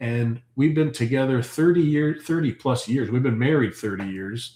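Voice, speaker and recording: This man has a dark, mellow tone and speaks with a Canadian accent. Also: medium pitch for a man, ordinary pitch variation, moderate pace. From Ontario, Canada. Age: 40s. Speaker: homesteader and farm channel host. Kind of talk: casual livestream chat reading comments. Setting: live stream. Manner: animated.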